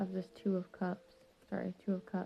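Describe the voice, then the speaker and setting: A woman speaks quietly at a medium pitch. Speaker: tarot reader. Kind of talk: tarot reading. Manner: quiet, subdued.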